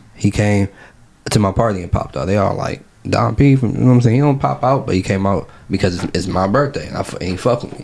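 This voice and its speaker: A man talks at a very fast pace with lively intonation and a fairly low pitch. Noticeable background noise runs underneath. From Ohio, Cleveland. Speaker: battle rapper and activist. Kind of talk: casual interview. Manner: animated.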